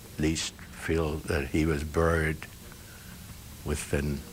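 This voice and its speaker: Against noticeable background noise, a man speaks in a very deep, low voice with monotone, flat intonation. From Germany. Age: 80s+. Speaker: Holocaust survivor and US Army veteran. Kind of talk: interview answer.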